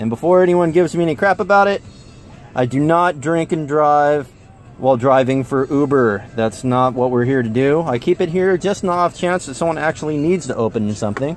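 Over faint background music, a man talks at a fairly quick pace in a dry recording with no echo. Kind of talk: casual vlog tutorial. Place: car. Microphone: phone near.

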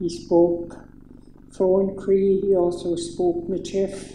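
A woman's dark, mellow voice at a very slow pace, with audible room echo and light background noise. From Saskatchewan, Canada (First Nation). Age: 60s. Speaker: speaker. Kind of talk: personal testimony speech. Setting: public event with audience. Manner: halting. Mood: calm, reflective. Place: hall.

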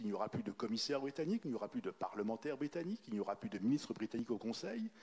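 Very fast male speech, pitch varying in an ordinary way. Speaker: diplomat. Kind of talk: panel discussion. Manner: formal.

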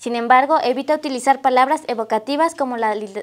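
Noticeable background noise runs behind a woman with a Mexican accent who speaks at a fairly quick pace in a high voice with ordinary pitch variation. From Mexico. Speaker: student presenter; presenter. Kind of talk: reading aloud. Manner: halting. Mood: giggly, stumbling over words. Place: studio. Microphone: lapel.

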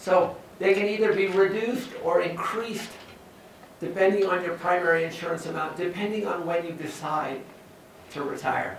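Over light background noise and audible room echo, a man with an American accent talks at a moderate pace. His voice is high-pitched with fairly even intonation. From California (San Joaquin Valley). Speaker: university professor. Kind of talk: lecture. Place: classroom.

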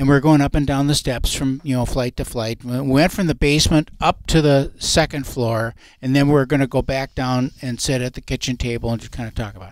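A man with an American accent talks at a fairly quick pace with hardly any pauses, his medium-pitched voice showing big swings in loudness. The sound is dry with no echo, over a quiet background. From Minnesota. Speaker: radio host and realtor; radio show co-host. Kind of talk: radio talk show. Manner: animated. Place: studio. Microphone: headset.

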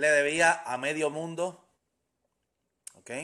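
Very slow delivery over a quiet background. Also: man. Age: 30s. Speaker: business coach. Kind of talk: motivational live stream talk. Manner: hesitant with fillers. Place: home room. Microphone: phone near.

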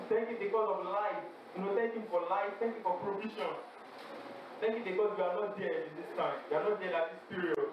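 Noticeable background noise and audible room echo surround a man's high voice. His intonation is fairly even. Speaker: campus fellowship prayer leader. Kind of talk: fervent congregational prayer and worship exhortation. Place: hall.

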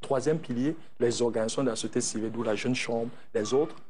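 A man's voice with a dark, mellow tone. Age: 40s. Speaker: entrepreneur and former youth organization president; interview guest. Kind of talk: TV interview. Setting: TV studio. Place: studio. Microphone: lapel.

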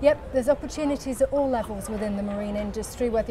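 Over music in the background, a woman talks at a very fast pace. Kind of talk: interview answer. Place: street. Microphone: lapel.

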